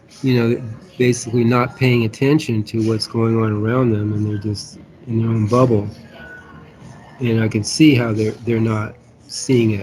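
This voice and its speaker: With music in the background, a man speaks at a moderate pace and a medium pitch, in monotone, flat intonation with long, frequent pauses. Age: 70s. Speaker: podcast co-host. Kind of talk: casual discussion. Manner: halting, many false starts.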